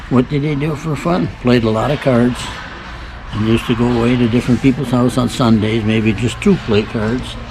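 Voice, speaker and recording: A man with a Michigan accent at a moderate pace, over noticeable background noise. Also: medium pitch for a man, ordinary pitch variation. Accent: Midwestern American (Michigan). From Michigan, US. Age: 80s+. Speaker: great-grandfather being interviewed. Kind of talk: casual family interview.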